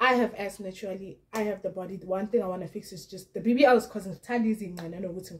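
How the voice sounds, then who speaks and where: A woman talks at a moderate pace with fairly even intonation. Her voice is somewhat breathy. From South Africa. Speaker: YouTuber commenting on celebrity gossip. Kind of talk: casual vlog commentary. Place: home room.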